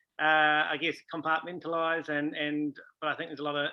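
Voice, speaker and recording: A man talks at a fairly quick pace in a New Zealand accent. His fairly high voice stays monotone and flat. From New Zealand, Taranaki. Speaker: rugby coach. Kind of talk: interview.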